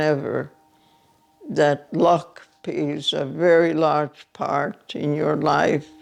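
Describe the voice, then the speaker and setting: Music plays behind a woman speaking at a very slow pace. Her pitch varies in an ordinary way. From Hungary. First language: Hungarian. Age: 90s. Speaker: Holocaust survivor. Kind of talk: testimony.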